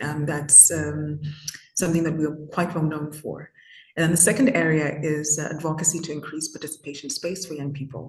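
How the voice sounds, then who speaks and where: With a Zimbabwean accent, a woman speaks fairly quickly in a very deep, low voice, her intonation fairly even. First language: Shona. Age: 20s. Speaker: youth activist. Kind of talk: interview. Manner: hesitant, many fillers.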